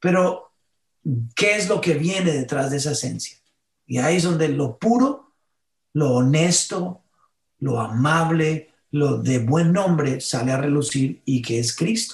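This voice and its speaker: Somewhat breathy, the voice moves at a very slow pace with lively intonation. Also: man, fairly high pitch for a man. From Colombia, northern Caribbean coast. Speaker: worship musician and pastor. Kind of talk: interview.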